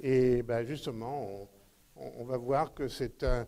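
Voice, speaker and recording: A dark, mellow tone carries this voice at a very slow pace. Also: man. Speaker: astronomy society conference host. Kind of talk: event announcements and speaker introduction. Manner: halting, many hesitations.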